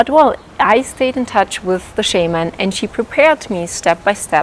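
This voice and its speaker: Over noticeable background noise, a woman with a non-native accent speaks at a moderate pace. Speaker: life coach. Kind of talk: vlog talk to camera.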